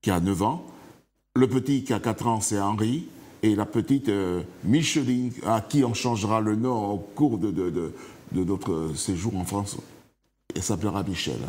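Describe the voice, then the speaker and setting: A man speaks with fairly low pitch and ordinary pitch variation. His pace is fairly slow, broken by long, frequent pauses. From Martinique. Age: 60s. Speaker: author, interview guest. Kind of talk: TV interview. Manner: halting.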